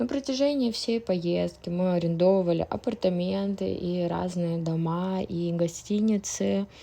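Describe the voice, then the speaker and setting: Speaking very slowly, a woman uses a relaxed, dark and mellow tone at a medium pitch. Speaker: traveler. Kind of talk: travel vlog narration. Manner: slow, clear, relaxed.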